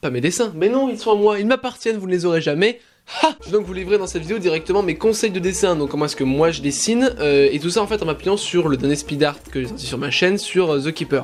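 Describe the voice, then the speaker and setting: A man's high-pitched voice at a very fast pace over noticeable background noise. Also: lively intonation. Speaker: drawing YouTuber. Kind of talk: tutorial. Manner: hesitant, many fillers.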